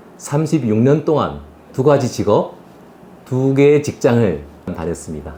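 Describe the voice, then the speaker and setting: Fairly slow speech with very wide pitch swings and long, frequent pauses, over noticeable background noise. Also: man. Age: 60s. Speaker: retired executive, career coach. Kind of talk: interview.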